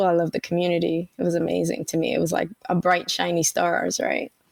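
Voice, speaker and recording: Very fast and very even in loudness, a woman talks with a Spanish accent. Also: hardly any pauses, dry, close sound with no echo. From Panama (Colon), raised in Brooklyn, New York. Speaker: tech leader. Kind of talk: interview. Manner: casual.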